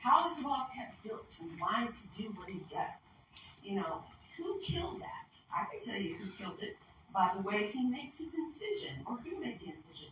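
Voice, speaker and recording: A loud woman's voice, fairly high-pitched, with a bright, sharp tone, very wide pitch swings and a moderate pace. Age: 60s. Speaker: wildlife tracker and conference presenter. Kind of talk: conference presentation.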